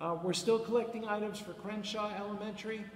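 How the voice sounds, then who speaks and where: Against light background noise and audible room echo, a man talks at a moderate pace. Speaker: pastor leading a service. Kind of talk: church announcements and scripture reading. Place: church. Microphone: headset.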